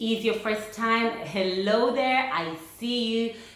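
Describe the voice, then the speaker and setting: Noticeable background noise sits behind the speech. A woman talks with fairly even intonation at a fairly high pitch. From Uganda. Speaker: vlogger. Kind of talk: casual talk to camera.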